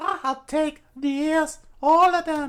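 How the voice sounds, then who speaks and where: This is a put-on character voice, high and squeaky. It stays squeaky and high-pitched throughout. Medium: read story.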